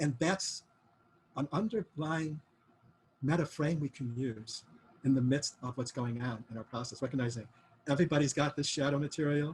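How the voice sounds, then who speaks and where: At a moderate pace with long, frequent pauses, a somewhat breathy man speaks with a fairly high pitch and ordinary pitch variation. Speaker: course teacher. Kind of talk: lecture. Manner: halting.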